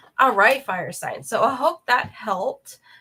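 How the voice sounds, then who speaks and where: Showing vocal fry, a woman speaks with a bright, sharp tone and lively intonation. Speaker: tarot reader. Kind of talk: tarot reading.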